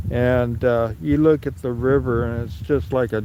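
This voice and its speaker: Over noticeable background noise, a man with an American accent talks at a fairly slow pace and medium pitch. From California (Sacramento). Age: 60s. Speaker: livestreamer. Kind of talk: live stream walkaround commentary. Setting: outdoors in snow. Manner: halting, many fillers.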